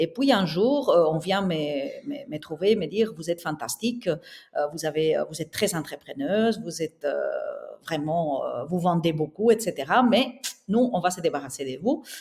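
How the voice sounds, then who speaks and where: A woman speaks at a moderate pace with a fairly low pitch. Her voice makes very wide pitch swings. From southern Spain. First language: Spanish (speaking French). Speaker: interior architect and entrepreneur. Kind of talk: podcast interview.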